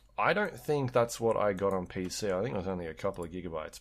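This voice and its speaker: A very deep, low male voice over music in the background. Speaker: podcast host. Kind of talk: casual chat.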